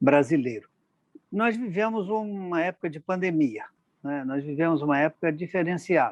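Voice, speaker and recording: Here a man in an unremarkable speaking voice talks at a moderate pace with lively intonation. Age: 60s. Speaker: interviewer for a magistrates' institute. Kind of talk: formal interview. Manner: formal.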